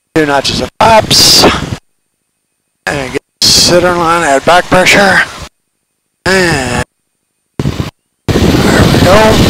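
With noticeable background noise and a dry, echo-free sound, a man speaks at a very slow pace, leaving long, frequent pauses and varying his pitch in an ordinary way. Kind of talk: cockpit callouts and flight instruction. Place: plane. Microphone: headset.

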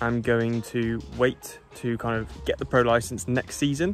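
Over faint music, a man speaks at a very slow pace in a dry recording with no echo. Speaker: triathlete vlogger. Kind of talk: casual vlog chat. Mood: cheerful, upbeat. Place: open country. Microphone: phone near.

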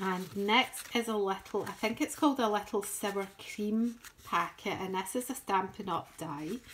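A woman talks in a Scottish accent with ordinary pitch variation. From Scotland. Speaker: crafting YouTuber. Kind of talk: show-and-tell tutorial. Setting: home craft table. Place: home room. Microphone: phone near.

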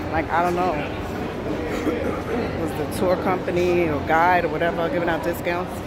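With crowd noise behind her, a woman speaks at a moderate pace, and the sound is dry with no echo. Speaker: vlogger. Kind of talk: casual vlog chat. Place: station. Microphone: earbuds.

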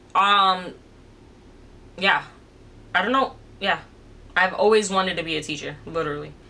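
A woman with an American accent speaks in a bright, sharp tone at a moderate pace, with ordinary pitch variation. She leaves long, frequent pauses. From New York City. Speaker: influencer and business owner; influencer. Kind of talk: casual vlog Q&A. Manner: casual, filler-heavy. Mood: calm, reflective, personal. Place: home room.

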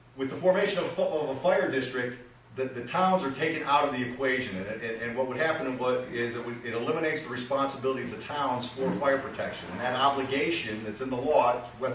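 Very fast speech with ordinary pitch variation, audible room echo and noticeable background noise. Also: man. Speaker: public presenter. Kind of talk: public meeting presentation. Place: garage.

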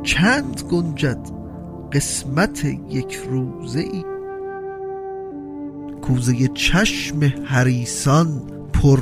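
The talking is very slow. Background music plays throughout. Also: man. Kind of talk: poetry reading.

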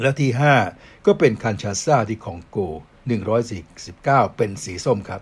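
A man speaks at a medium pitch with a somewhat breathy quality and lively intonation. The recording is very clean, with a silent background. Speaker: sports talk show host. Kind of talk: sports news talk show. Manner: polite formal address.

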